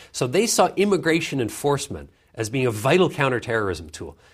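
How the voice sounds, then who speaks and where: A man speaks fairly quickly, his somewhat breathy voice carrying lively intonation. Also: very clean recording, silent background. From Canada (Vancouver). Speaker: author and foreign policy fellow, former journalist. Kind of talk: interview. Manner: frequent repetitions and fillers.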